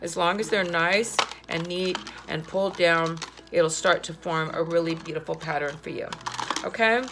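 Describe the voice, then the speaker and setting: With noticeable background noise, the speaker moves at a moderate pace with long, frequent pauses and fairly even intonation. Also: woman, fairly low pitch for a woman. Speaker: art teacher. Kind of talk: tutorial.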